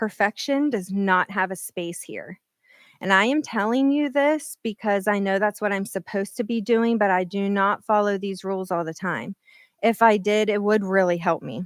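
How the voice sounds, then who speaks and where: Moving at a moderate pace, a woman at medium pitch with ordinary pitch variation is captured in a dry, close sound with no echo and a very clean, silent background. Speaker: keynote speaker, scientist. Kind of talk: keynote speech. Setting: stage with audience, at a podium. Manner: halting; quivering voice.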